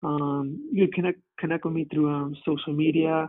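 A man's fairly high voice with an American accent, fairly quick and flat in a monotone. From New Jersey. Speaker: wellness coach. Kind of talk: casual interview. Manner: halting, many fillers.

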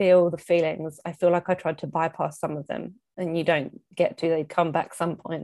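A woman with an English accent and a dark, mellow tone speaks at a moderate pace with hardly any pauses, her fairly low pitch monotone and flat, in a very clean recording with a silent background. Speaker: mother sharing pregnancy loss story. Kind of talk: casual chat.

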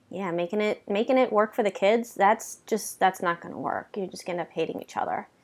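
A woman with an unremarkable speaking voice talks at a fairly quick pace in a medium pitch, with ordinary pitch variation and hardly any pauses. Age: 30s. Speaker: podcast host. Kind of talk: casual chat.

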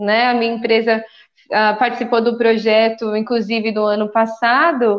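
The speaker is a woman. Her pitch is fairly high. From Guarulhos, São Paulo, Brazil. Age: 30s. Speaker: dressmaker and activist. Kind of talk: casual panel discussion.

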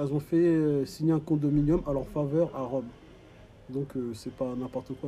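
The intonation stays fairly even, with music in the background. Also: man. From sub-Saharan Africa. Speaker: audiovisual company manager and caregiver. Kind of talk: interview. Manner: halting, many hesitations.

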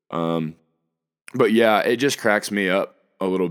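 A man with an American accent talks at a moderate pace in a very deep, low pitch, on a very clean recording with a silent background. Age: 20s. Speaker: podcast host. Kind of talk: casual monologue. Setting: at home. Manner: animated.

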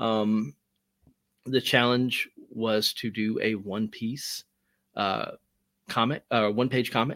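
A man with an American accent at a medium pitch, fairly even intonation, very slow pace and long, frequent pauses, in a dry, close sound with no echo and a very clean recording over a silent background. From Alabama, US South. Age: 40s. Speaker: comic book creator. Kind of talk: interview.

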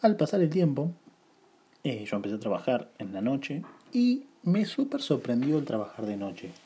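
A man with a fairly high pitch and a dark, mellow, somewhat breathy tone speaks at a moderate pace. His pitch swings very widely. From Buenos Aires, Argentina. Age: 20s. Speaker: podcaster. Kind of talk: casual monologue. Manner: informal, conversational.

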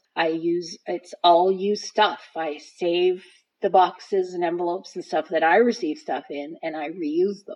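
A woman speaks at a fairly slow pace. Her pitch is fairly low, and her intonation stays fairly even. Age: 50s. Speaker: host's mother, interviewee. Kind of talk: casual interview. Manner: hesitant, many fillers and repeats.

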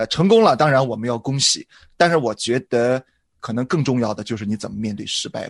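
This is an ordinary speaking voice, a man's at medium pitch with ordinary pitch variation and a fairly quick pace. His loudness swings widely, and the sound is dry and close with no echo. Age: 40s. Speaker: pastor. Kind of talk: casual chat.

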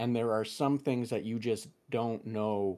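A man's fairly low voice on a very clean recording with a silent background. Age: 30s. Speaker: podcast host. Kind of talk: casual interview chat. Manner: halting, many fillers.

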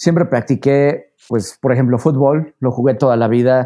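A man with a central Mexican accent speaks at medium pitch and a fairly slow pace, his tone dark and mellow and his intonation fairly even, over a quiet background. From Mexico, Puebla. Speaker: mountaineer and renewable energy consultant. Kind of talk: interview.

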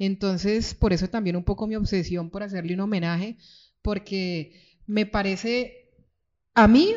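Speaking at a moderate pace, a woman uses an ordinary speaking voice at medium pitch with ordinary pitch variation. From Colombia, Cali (born Pereira, moved at six). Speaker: writer. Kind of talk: book presentation talk. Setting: stage with audience.

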